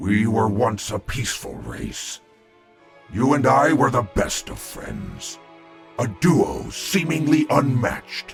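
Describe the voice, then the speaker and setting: A man's put-on character voice at a medium pitch and a fairly slow pace, with faint music in the background. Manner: solemn, measured.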